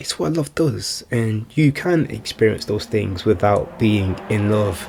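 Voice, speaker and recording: The man's voice is shaky, at a medium pitch. His intonation is lively. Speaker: vlogger. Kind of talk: casual monologue.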